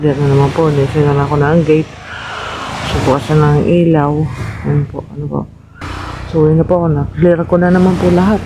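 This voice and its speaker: Against noticeable background noise, a soft-spoken man with a fairly high pitch talks at a fairly quick pace with fairly even intonation, leaving long, frequent pauses. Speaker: vlogger. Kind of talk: vlog narration.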